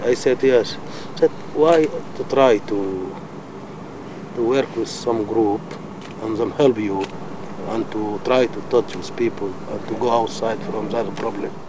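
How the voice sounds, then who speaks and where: A man with a medium pitch speaks at a fairly slow pace, his intonation fairly even, with long, frequent pauses and noticeable background noise. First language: not English. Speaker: asylum seeker. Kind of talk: interview. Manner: halting.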